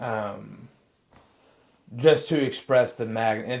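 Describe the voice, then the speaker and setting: A man speaks with ordinary pitch variation. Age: 20s. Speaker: podcast co-host sharing his addiction story. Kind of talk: casual chat, personal testimony. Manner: halting, many fillers and restarts.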